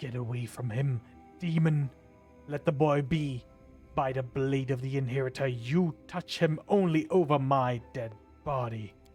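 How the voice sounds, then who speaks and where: This put-on character voice is loud and booming, delivered at a moderate pace over faint background music. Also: man, medium pitch for a man. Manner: defiant, commanding.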